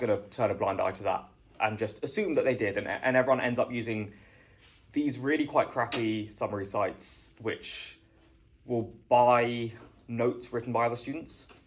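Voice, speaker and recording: A somewhat breathy man with a British accent. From southeast England. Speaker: startup founder. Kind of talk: interview.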